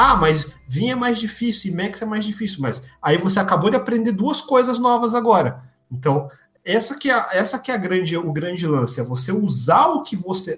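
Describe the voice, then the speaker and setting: Here a man speaks in a high voice at a moderate pace. His pitch swings very widely. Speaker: software developer and video creator. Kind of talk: live-streamed interview.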